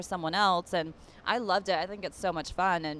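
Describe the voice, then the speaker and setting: A woman speaks in a normal speaking voice at a medium pitch and a fairly quick pace, with fairly even intonation. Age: 30s. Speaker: reality TV cast member. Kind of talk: casual chat. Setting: in person meeting.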